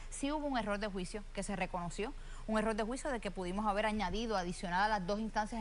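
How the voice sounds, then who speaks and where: At a very fast pace, a woman of medium pitch speaks with fairly even intonation amid audible room echo. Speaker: gubernatorial candidate, lawyer. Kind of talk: televised candidate interview.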